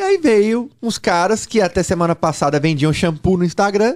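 The intonation is lively as a man speaks. The background is quiet. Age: 40s. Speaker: sports betting trader and educator; podcast guest. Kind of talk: podcast interview. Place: studio. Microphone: studio mic.

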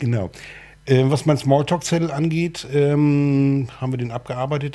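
Somewhat breathy, with a dark, mellow tone, a man speaks at a fairly quick pace with ordinary pitch variation. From northern Germany, Cuxhaven. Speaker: talk show host. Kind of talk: casual interview chat. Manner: halting, many fillers.

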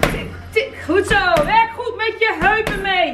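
Clear music plays in the background. The speech moves at a very slow pace. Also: woman. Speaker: fitness instructor. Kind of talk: workout instruction, coaching calls. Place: gym. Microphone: camera far.

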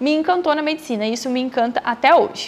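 Her pitch varies in an ordinary way. The woman talks in a high voice. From Brazil, Mato Grosso interior. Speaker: medical student and YouTuber. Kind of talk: casual vlog Q&A. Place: home room. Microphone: lapel.

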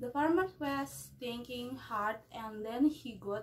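With an Indonesian accent, the speaker goes at a very slow pace with ordinary pitch variation. Light background noise is audible. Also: woman. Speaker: university student. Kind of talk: storytelling. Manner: halting. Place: home room. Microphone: phone near.

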